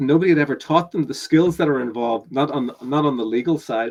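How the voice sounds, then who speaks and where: A man talks at a moderate pace. He has a slight Northern Irish accent. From Northern Ireland. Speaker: business coach. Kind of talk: webinar interview. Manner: halting, many repetitions.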